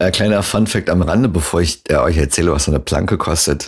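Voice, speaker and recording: A man speaks with a very deep, low pitch at a moderate pace. Vocal fry runs through his voice. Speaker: solo podcaster. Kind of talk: casual monologue. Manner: casual with many fillers.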